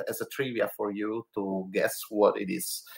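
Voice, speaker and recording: Speaking very slowly with an Italian accent, a man shows ordinary pitch variation. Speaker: board game podcast co-host. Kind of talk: podcast segment presentation. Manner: halting, many fillers.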